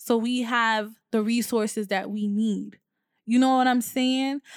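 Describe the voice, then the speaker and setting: The recording is very clean, with a silent background and a dry, close sound with no echo. A woman speaks fairly high in pitch with fairly even intonation. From Haitian heritage. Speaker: podcast host. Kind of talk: solo podcast monologue.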